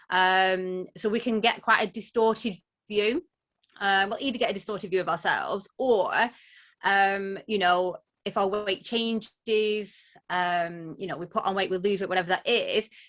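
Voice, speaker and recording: A woman talks at a medium pitch with fairly even intonation. She has a strong Lancashire accent. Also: moderate pace. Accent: broad Lancashire, strong. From northern England, Lancashire. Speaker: body image coach. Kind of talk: interview, personal story.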